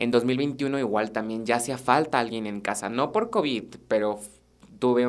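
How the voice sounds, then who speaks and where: This recording is very clean against a silent background. The speech moves at a fairly slow pace. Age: 20s. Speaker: student podcast host. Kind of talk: casual monologue.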